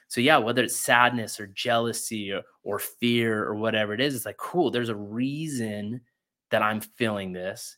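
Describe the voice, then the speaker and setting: A man with an American accent speaks at a medium pitch and a moderate pace, his tone bright and sharp. His intonation is fairly even, and the recording is very clean with a silent background. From Utah, rural ranch. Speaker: real estate investor and podcast host. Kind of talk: interview conversation.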